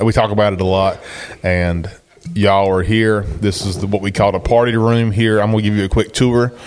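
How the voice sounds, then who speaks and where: With noticeable background noise behind him, a man with an American accent talks at a moderate pace and a fairly low pitch. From North Carolina. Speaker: podcast host. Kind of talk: casual podcast chat. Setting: hunt camp, recorded on location.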